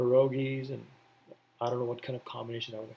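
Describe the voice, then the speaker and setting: A man's voice comes across somewhat breathy. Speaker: coding tutorial youtuber. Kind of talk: casual tutorial talk. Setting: at home, indoors. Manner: very slow; quiet, hesitant with fillers.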